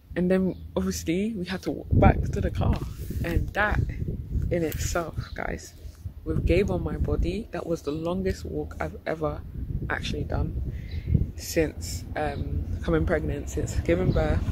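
A woman at a fairly slow pace, dry sound with no echo, loud background noise behind her. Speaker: travel vlogger. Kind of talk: casual vlog chat. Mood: amused, recounting a tiring walk. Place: street. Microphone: phone near.

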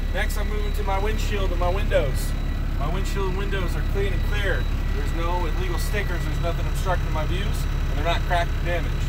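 Loud background noise sits under a man speaking at a very fast pace. His pitch varies in an ordinary way. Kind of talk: tutorial. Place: car. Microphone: phone near.

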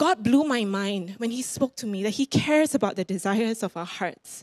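In a Singaporean accent, a woman with a fairly high pitch speaks at a moderate pace in an animated tone, the sound dry with no echo and the background quiet. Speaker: preacher. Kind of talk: sermon. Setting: church. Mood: encouraging, earnest. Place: church. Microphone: handheld.

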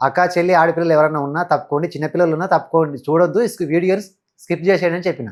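A man's high-pitched voice with fairly even intonation, on a very clean recording with a silent background. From Telangana, Wanaparthy district village. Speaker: shepherd and social media influencer. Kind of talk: interview. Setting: studio.

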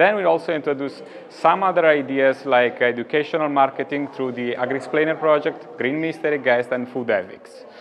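A man's fairly high voice with an Italian accent, ordinary pitch variation, a fairly quick pace and hardly any pauses, over light background noise. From Italy. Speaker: psychologist; conference presenter. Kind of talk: interview. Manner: halting. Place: hall. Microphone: lapel.

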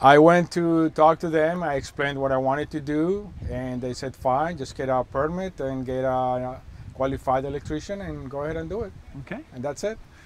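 This man speaks at a moderate pace with ordinary pitch variation, and the sound is dry with no echo. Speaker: interviewee. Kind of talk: interview answer. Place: waterside. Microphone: phone near.

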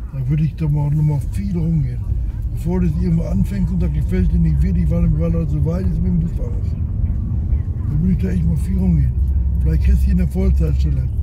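A man talks at a very fast pace with ordinary pitch variation. The sound is dry with no echo, and background noise is loud. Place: car. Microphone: phone near.

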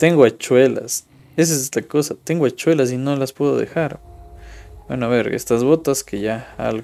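At a moderate pace, a man speaks with a dark, mellow tone. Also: ordinary pitch variation. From Ecuador. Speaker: gaming streamer. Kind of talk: gameplay commentary; casual gameplay commentary. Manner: casual, thinking aloud. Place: home room.

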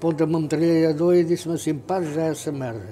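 There is light noise in the background. A man talks very fast. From Portugal, Ribatejo (Pernes); Portugal. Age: 80s+. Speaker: radio pioneer. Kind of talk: interview. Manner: animated. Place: home room.

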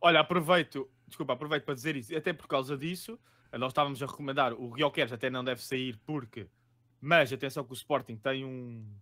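A man at a fairly quick pace, with ordinary pitch variation and big swings in loudness, over a quiet background. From Lisbon, Portugal. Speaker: fantasy football podcast co-host. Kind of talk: casual chat about fantasy football tips. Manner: jokey, laid-back. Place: home room.

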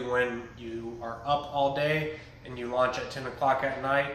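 A man speaks at a moderate pace with fairly even intonation. Audible room echo and light background noise come through. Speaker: military aviator tour guide. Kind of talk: guided tour explanation. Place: office. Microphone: phone near.

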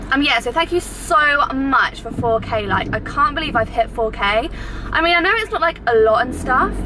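A woman uses a raised, projected voice with lively intonation. Noticeable background noise is present. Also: moderate pace. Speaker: vlogger. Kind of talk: casual vlog chat. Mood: cheerful, chatty. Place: car. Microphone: phone near.

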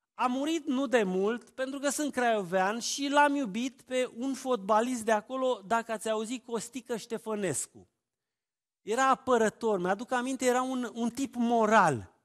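The background is quiet as a man speaks at an extremely high pitch. He talks at a fairly slow pace with ordinary pitch variation. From Romania, Oltenia (Târgu Jiu, Craiova); Romania. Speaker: family therapist and preacher; preacher. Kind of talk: sermon. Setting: church. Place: church.

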